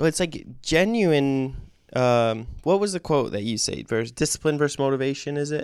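A man talks at a moderate pace with a fairly high pitch, lively intonation and an ordinary speaking voice. The recording is very clean, with a silent background. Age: 20s. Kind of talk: casual chat.

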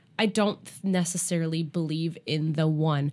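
Here a woman with a normal speaking voice and a fairly low pitch talks at a fairly slow pace. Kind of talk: casual chat. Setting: studio.

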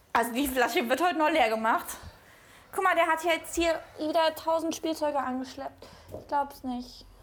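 With noticeable background noise, a woman speaks at a moderate pace. Her pitch is high. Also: ordinary pitch variation, big swings in loudness. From Cologne, Germany. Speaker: podcast co-host. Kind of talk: casual chat.

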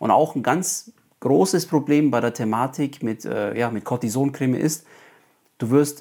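On a very clean recording with a silent background, a man speaks in a normal speaking voice at a moderate pace, with medium pitch and ordinary pitch variation. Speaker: psoriasis coach and podcaster. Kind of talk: solo podcast monologue.

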